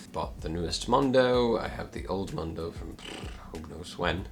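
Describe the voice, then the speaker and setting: With an American accent, a man speaks at a moderate pace in a fairly low pitch with very wide pitch swings, over noticeable background noise and audible room echo. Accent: American, at times put-on fake British. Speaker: climbing gear youtuber. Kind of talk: casual talking-head review. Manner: halting, with fillers and repeats.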